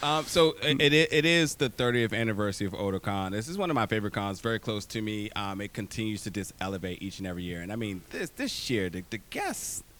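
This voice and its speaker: A man talks very fast with a fairly low pitch and lively intonation, hardly pausing at all. Noticeable background noise runs behind him. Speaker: interviewer. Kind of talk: interview questions.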